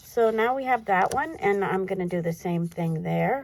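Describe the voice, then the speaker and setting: Talking at a fairly slow pace, a woman makes very wide pitch swings. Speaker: crafting video creator. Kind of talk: tutorial. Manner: casual, chatty.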